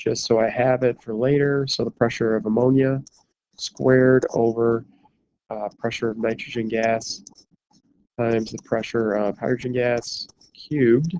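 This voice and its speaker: This man has an unremarkable speaking voice at medium pitch, with fairly even intonation. He talks at a moderate pace, and the sound is dry and close with no echo. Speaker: chemistry teacher. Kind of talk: lecture. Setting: recorded from a hospital.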